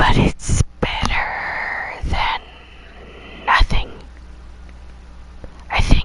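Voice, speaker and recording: Someone whispers at a very slow pace, with long, frequent pauses. Background noise is noticeable throughout. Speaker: gaming streamer. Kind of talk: live gameplay stream. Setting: at home at night. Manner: quiet.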